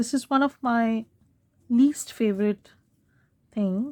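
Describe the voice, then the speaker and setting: With ordinary pitch variation, this woman talks in a somewhat breathy voice. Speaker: craft video maker. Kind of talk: tutorial. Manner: casual, halting.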